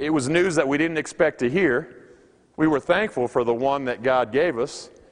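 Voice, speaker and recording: This is a man with an ordinary speaking voice. His pitch is fairly high. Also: ordinary pitch variation, moderate pace. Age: 40s. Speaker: pastor. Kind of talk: sermon. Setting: chapel service.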